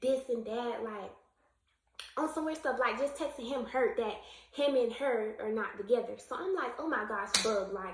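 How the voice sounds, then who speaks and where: A woman with a high pitch and ordinary pitch variation speaks at a moderate pace, with audible room echo. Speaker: YouTube storyteller. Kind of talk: storytime vlog. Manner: stuttering.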